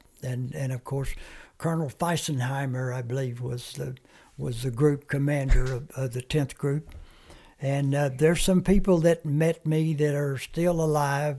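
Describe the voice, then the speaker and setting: A dark, mellow tone comes through, somewhat breathy in quality. Intonation stays fairly even, and the pace is moderate. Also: man, fairly high pitch for a man. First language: Comanche. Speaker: war veteran. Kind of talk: interview storytelling. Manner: halting.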